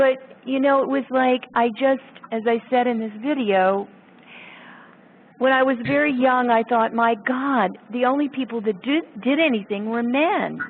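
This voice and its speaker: A woman speaks at a fairly slow pace in a high pitch with ordinary pitch variation. Noticeable background noise runs under her voice. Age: 60s. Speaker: sculptor. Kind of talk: casual chat.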